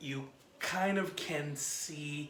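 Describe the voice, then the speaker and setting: A man whispers quietly over noticeable background noise. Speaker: film reviewer. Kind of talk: casual film review vlog. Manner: quiet, near whisper.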